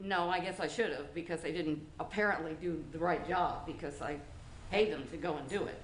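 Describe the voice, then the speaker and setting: Amid noticeable background noise and audible room echo, a woman with an American accent speaks at a fairly quick pace, her fairly low pitch set in fairly even intonation. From Florida. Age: 70s. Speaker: property owner at code hearing. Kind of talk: testimony.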